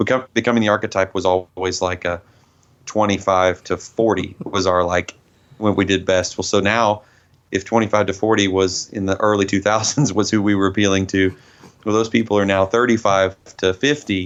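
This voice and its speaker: A man at a moderate pace, with fairly even intonation and very even loudness. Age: 30s. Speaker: metal band vocalist. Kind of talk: interview.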